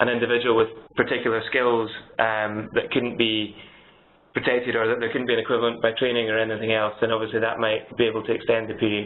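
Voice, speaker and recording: In a Scottish accent, a man talks at a very fast pace with monotone, flat intonation. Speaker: solicitor. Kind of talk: webinar Q&A. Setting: webinar.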